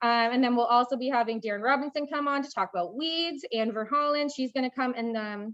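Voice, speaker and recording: High-pitched female speech with ordinary variation in pitch. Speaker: agricultural crop specialist. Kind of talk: training workshop lecture. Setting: classroom with live Zoom audience. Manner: fast.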